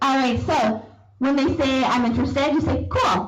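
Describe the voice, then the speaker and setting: An animated, high-pitched woman's voice with ordinary pitch variation, amid noticeable background noise and audible room echo. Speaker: sales trainer. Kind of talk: training talk.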